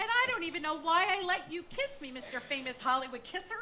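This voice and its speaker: A woman does a squeaky, put-on character voice at an extremely high pitch and very fast pace, swinging widely in pitch, over clear background noise. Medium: stage play. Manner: chattering, flustered.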